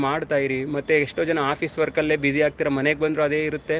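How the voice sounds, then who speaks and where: A fairly high-pitched man talks in a monotone with flat intonation. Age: 30s. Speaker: soldier and fitness vlogger. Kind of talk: casual live stream chat.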